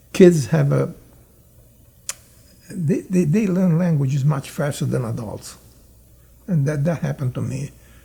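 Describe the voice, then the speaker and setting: A man with a slight Italian accent and fairly high pitch, at a fairly slow pace with long, frequent pauses. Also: ordinary pitch variation. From Italy. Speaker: immigrant telling life story. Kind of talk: interview reminiscence. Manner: halting, many fillers.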